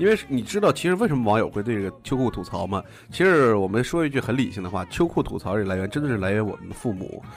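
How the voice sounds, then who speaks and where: A man's very fast, lively-intoned speech with hardly any pauses. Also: medium pitch for a man. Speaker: podcast host. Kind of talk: casual chat. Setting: studio.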